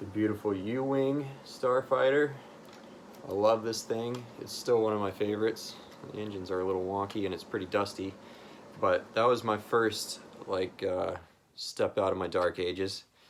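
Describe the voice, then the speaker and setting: A man with an American accent and a normal speaking voice, fairly low in pitch, with ordinary pitch variation at a moderate pace. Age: 30s. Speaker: hobbyist content creator. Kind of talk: casual personal talk to camera.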